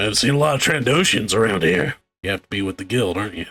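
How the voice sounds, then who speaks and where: A put-on character voice at a very fast pace. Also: man, fairly low pitch for a man. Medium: actual play. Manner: wry, needling.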